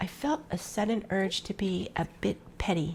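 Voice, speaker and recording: Here a woman uses a plain, everyday voice at a medium pitch with ordinary pitch variation. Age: 60s. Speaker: lifestyle YouTuber. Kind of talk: scripted intro to camera.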